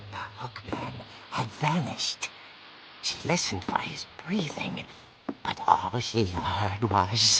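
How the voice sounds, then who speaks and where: A man whispering in a put-on character voice at a fairly slow pace, with long, frequent pauses. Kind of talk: horror comic narration. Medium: video game. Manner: theatrical, relishing.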